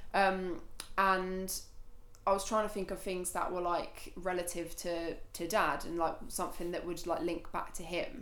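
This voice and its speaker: A woman's medium-pitched voice in a Suffolk accent, monotone and flat, at a fairly slow pace with audible room echo. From Suffolk, eastern England (Felixstowe and Shotley). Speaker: charity walker, graphic designer. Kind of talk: casual interview.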